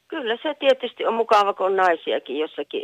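Very wide pitch swings in a woman's fairly slow-paced speech. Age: old. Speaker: caller, grandmother. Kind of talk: phone-in call.

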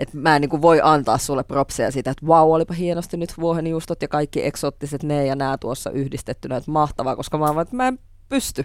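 Words come at a very fast pace with hardly any pauses. The recording is very clean, with a silent background. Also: woman, very deep, low pitch for a woman, ordinary pitch variation. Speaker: TV host, guest. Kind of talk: casual chat.

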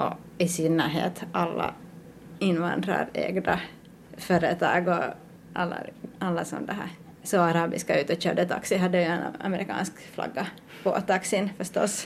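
A woman's voice at a fairly low pitch, with fairly even intonation and a moderate pace. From Finland, Ostrobothnia (Pedersöre). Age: 30s. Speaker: artist. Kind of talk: interview.

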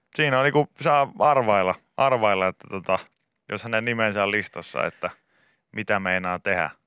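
A man talks at a moderate pace in a bright, sharp tone with ordinary pitch variation. The recording is very clean and dry, close, with no echo and a silent background. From Finland, Pori. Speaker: radio host. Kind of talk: casual chat.

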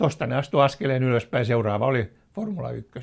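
Vocal fry runs through this man's voice. He keeps a moderate pace. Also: very clean recording, silent background. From Finland, Helsinki. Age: 80s+. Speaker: veteran motorsport journalist. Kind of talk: casual reminiscing interview. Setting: fireside room at his home.

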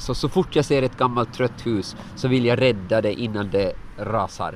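A man is speaking. His pitch is medium. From Åland. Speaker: lay preacher. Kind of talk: interview.

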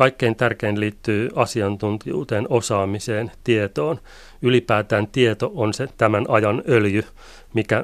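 In a normal speaking voice, a man talks at a fairly slow pace with fairly low pitch and fairly even intonation, recorded very cleanly against a silent background. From Finland, Pori. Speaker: migration researcher. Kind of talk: radio interview.

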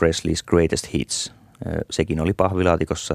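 A man with a very deep, low voice is heard in a dry, close sound with no echo. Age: 50s. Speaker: radio essayist. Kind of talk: scripted monologue.

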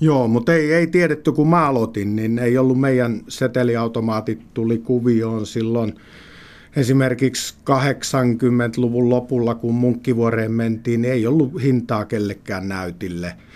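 A man speaks at a very slow pace and a medium pitch. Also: ordinary pitch variation. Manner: halting.

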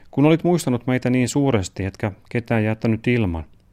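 At a moderate pace, a man talks in a normal speaking voice at medium pitch, with lively intonation. The recording is very clean, with a silent background. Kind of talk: literary letter reading, father's letter read aloud as a man.

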